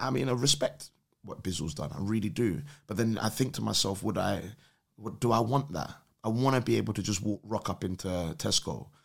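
A man's fairly quick, lively speech in a London accent, with fairly low pitch and vocal fry. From London, England. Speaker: podcast guest. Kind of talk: casual chat.

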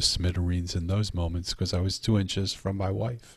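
A somewhat breathy, monotone delivery with flat intonation in a New York accent, at a moderate pace, on a very clean recording with a silent background. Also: man. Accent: New York-sounding. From Philadelphia, US. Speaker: author. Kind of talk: interview.

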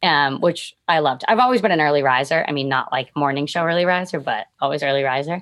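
A woman with an American accent talks at a very fast pace with hardly any pauses. Her voice is very deep and low, with ordinary pitch variation. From Quincy, Massachusetts. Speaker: radio host. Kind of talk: casual chat. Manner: animated.

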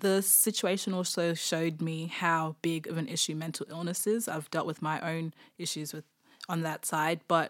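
A woman speaks with an Australian accent at a fairly low pitch and moderate pace. Her intonation is monotone and flat, and the recording is very clean with a silent background. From Darwin, Australia. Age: 20s. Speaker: former prisoner. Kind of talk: interview testimony.

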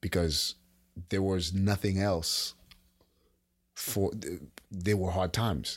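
With a very deep, low pitch, a somewhat breathy man speaks at a very slow pace with fairly even intonation and long, frequent pauses. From Haiti. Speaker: podcast co-host, uncle. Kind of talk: casual chat. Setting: remote call.

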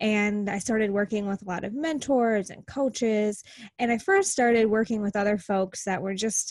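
A woman with an American accent speaks in a normal speaking voice at a fairly high pitch. Her pace is moderate and her intonation fairly even. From US Midwest, small-town Wisconsin. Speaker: business coach. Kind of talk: casual interview.

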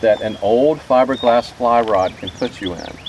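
A man at a medium pitch and a fairly slow pace, ordinary pitch variation, with noticeable background noise. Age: 50s. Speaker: fly fisherman, spiritual ecology student. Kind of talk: casual talk. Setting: outdoors in a boat.

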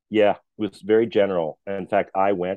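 A man speaks with an American accent and fairly even intonation. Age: 40s. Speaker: theater production manager. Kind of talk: interview conversation.

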